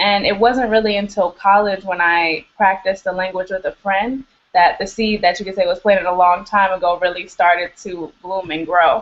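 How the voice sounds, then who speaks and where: In an American accent, an ordinary speaking voice moves at a moderate pace with hardly any pauses and fairly even intonation. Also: woman, medium pitch for a woman. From US Midwest, south side of Chicago. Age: 20s. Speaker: middle school English teacher. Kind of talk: interview.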